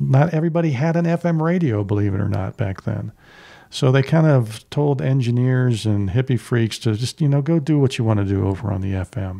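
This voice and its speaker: Speaking at a fairly quick pace, a man uses a medium pitch and lively intonation in a dark, mellow tone. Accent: American. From US Mid-Atlantic, Washington DC area. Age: 60s. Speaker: radio producer. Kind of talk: interview. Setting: home studio.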